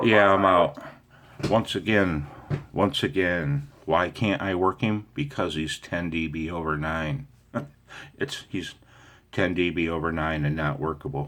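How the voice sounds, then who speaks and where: A man speaks with a very deep, low pitch at a fairly slow pace. Long, frequent pauses break up his speech. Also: ordinary pitch variation. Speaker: amateur radio operator. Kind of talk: casual talk to camera.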